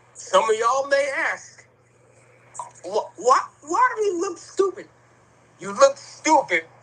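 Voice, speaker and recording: With noticeable background noise behind him, a man talks at a very slow pace, his pitch swinging very widely. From US inner city. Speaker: livestream talk show host. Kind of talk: casual livestream chat. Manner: slurred, sleepy speech.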